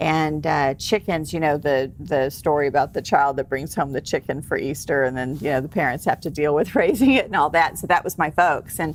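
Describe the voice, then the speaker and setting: With a Texas accent, a woman with a very deep, low pitch talks at a fairly quick pace with ordinary pitch variation and hardly any pauses. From Texas, San Antonio. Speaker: celebrity hypnotherapist and author. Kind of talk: interview. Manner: casual.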